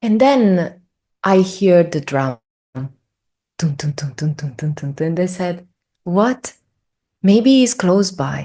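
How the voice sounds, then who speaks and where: A woman speaks very slowly at a fairly low pitch, with long, frequent pauses. Her intonation is lively. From Italy. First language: Italian. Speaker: spiritual traveler. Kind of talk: interview storytelling. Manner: halting, many fillers.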